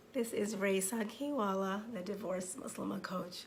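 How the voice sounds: In audible room echo, a woman speaks at a medium pitch and a moderate pace with ordinary pitch variation.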